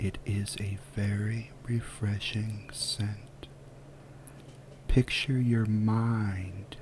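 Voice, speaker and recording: A soft-spoken man with a calm tone, fairly low pitch and monotone, flat intonation at a very slow pace, with noticeable background noise. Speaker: ASMR guided visualization narrator. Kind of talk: guided relaxation visualization. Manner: soft-spoken, calm.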